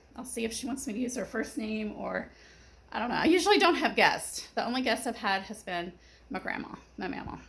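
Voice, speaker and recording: A woman at a fairly high pitch and a fairly quick pace, with noticeable background noise. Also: lively intonation. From Kentucky. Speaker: gardening vlogger. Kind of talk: casual vlog talk.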